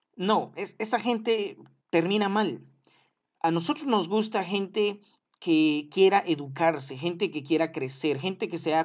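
A high-pitched, animated man speaking fairly slowly, with lively intonation, against a quiet background. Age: 30s. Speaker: preacher. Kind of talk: sermon. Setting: live stream.

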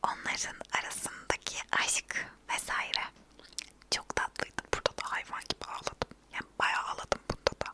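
Whispering at a moderate pace, a woman is heard in a dry, close sound with no echo, with noticeable background noise behind her. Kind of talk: casual ASMR talk to camera about TV dramas. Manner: whispered, soft.

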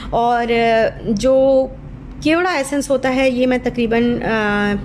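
Here a woman speaks at a high pitch with ordinary pitch variation. Her loudness stays very even. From Pakistan. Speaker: cooking vlogger and mother. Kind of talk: voiceover cooking tutorial. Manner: casual, hesitant with fillers.

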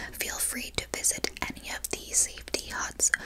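Whispering at a fairly slow pace, a woman speaks. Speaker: camp hostess roleplay. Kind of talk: ASMR roleplay soft talk. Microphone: lapel.

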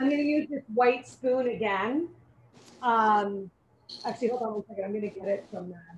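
A woman speaks at a moderate pace with a somewhat breathy, fairly high voice. Her pitch varies in an ordinary way, broken by long, frequent pauses. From Puerto Rico. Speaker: chef and inn owner. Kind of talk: cooking demonstration.

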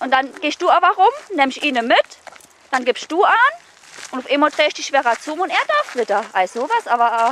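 With a Saarland accent, a woman speaks at a high pitch with very wide pitch swings, a moderate pace and long, frequent pauses, in a dry sound with no echo over light background noise. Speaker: dog trainer. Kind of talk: instructing a client during training. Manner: lively, engaged. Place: open country.

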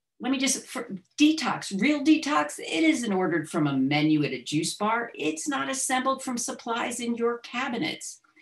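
A woman's voice with vocal fry and very wide pitch swings, at a fairly slow pace over a quiet background. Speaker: presenter. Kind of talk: lecture. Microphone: webcam.

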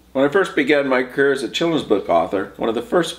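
At a fairly quick pace, a man speaks with vocal fry and very wide pitch swings. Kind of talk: storybook read-aloud. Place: home room.

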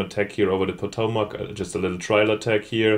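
There is noticeable background noise as a man talks in a fairly low pitch. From Germany. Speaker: gaming video creator. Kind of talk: let's play commentary.

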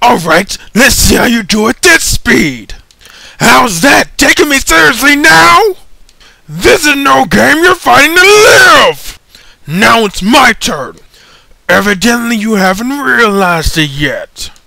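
Shouting in a put-on character voice, a man uses an extremely high pitch and a fairly slow pace. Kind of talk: fan voice acting practice, game scene. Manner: superior, calm, amused.

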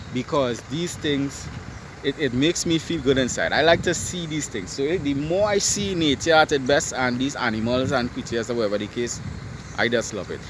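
Over noticeable background noise, a man speaks at a fairly quick pace with lively intonation. The sound is dry, with no echo. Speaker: vlogger. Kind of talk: casual vlog chat. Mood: excited, enthusiastic. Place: open country. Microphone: phone near.

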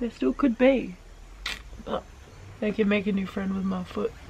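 Light background noise accompanies a woman speaking. Her pace is fairly quick, with ordinary pitch variation. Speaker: vlogger. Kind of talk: casual vlog chat. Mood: joking, playful. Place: open country. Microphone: phone near.

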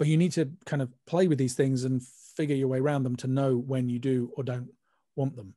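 A man talks with a British accent and a dark, mellow tone, at a fairly quick pace. His pitch varies in an ordinary way against a quiet background. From UK. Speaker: mastering engineer; guest. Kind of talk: panel discussion. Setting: video call. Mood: relaxed, explanatory. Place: studio.

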